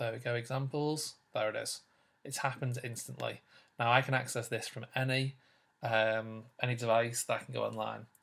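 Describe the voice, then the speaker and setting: A man with a British accent speaks at a medium pitch in a monotone, flat intonation. The recording is very clean against a silent background. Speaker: teacher. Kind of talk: tutorial. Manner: fast.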